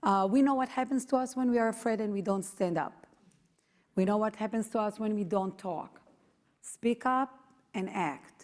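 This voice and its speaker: At a moderate pace, a woman talks with an Israeli accent. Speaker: activist, founder of parents' movement. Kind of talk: speech to audience.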